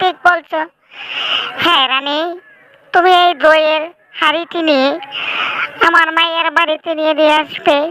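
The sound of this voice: A woman uses a cartoonish character voice at an extremely high pitch, paced fairly slowly. Her intonation is monotone and flat, and her loudness stays very even.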